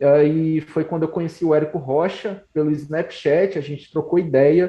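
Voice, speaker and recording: This man's fairly high voice holds a fairly even intonation. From Brazil, Ceará. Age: 20s. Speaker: entrepreneur. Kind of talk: casual interview.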